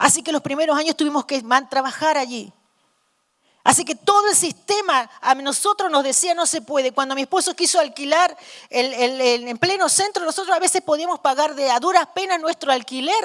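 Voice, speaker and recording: A woman speaks at a fairly quick pace in a high pitch, with ordinary pitch variation and a dry, close sound with no echo. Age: 60s. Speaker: missionary preacher. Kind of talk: sermon. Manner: halting.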